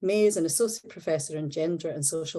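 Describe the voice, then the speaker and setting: Against a quiet background, a woman with a Scottish accent talks at a fairly quick pace in a somewhat breathy voice with a dark, mellow tone. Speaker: seminar host. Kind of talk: formal introduction. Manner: formal.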